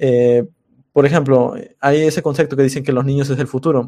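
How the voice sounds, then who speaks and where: A man's dark, mellow tone, fairly high in pitch, with fairly even intonation. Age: 20s. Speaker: programming tutorial YouTuber. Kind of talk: casual interview chat. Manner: hesitant, many fillers.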